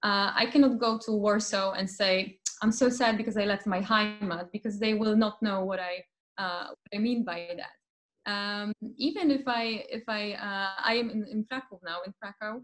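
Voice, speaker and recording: Fairly even intonation comes from a woman at a moderate pace. Her surroundings are quiet. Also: fairly high pitch for a woman. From Silesia, Poland. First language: Polish. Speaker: literature lecturer. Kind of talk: academic Q&A discussion. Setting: video call. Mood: warm, reflective. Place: home room. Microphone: video call.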